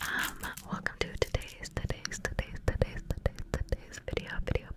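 A woman whispers at a moderate pace. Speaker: ASMR creator. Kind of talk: ASMR trigger video. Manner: whispered, up close. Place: home room. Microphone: studio mic.

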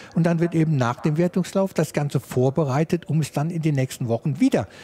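A man with a dark, mellow tone and a somewhat breathy voice speaks at a fairly quick pace with ordinary pitch variation, in a dry, close sound with no echo. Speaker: motorsport commentator. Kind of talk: live commentary.

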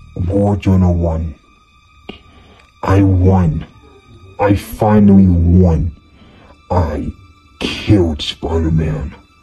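Faint music plays in the background as a man with a very deep, low pitch talks at a very slow pace. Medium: short film. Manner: gloating, triumphant.

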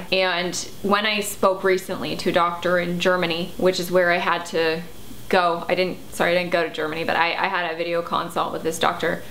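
Speech comes at a fairly quick pace in a monotone, flat intonation, with light background noise behind it. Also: woman, fairly low pitch for a woman. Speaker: health vlogger. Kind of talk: casual vlog chat. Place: home room.

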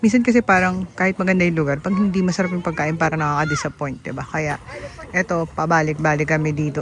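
Through noticeable background noise, a woman speaks in a very deep, low pitch with ordinary pitch variation. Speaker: motorcycle vlogger. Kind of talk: casual vlog narration. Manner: animated.

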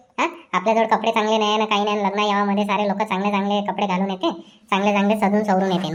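A woman's cartoonish character voice, fairly high in pitch, at a fairly quick pace. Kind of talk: cartoon comedy dialogue. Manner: talkative, persistent.

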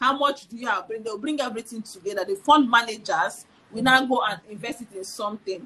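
A woman at a very fast pace, animated, with a bright, sharp tone, fairly high pitch, ordinary pitch variation and big swings in loudness. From Nigeria. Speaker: financial educator; guest. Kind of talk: casual chat. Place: home room. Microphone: video call.

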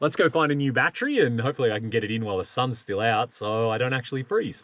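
A man with an Australian accent speaks at a very fast pace and medium pitch. His pitch varies in an ordinary way, and the sound is dry with no echo. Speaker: travel vlogger. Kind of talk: casual vlog narration. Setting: outdoors in winter. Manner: animated. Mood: cheerful, enthusiastic.

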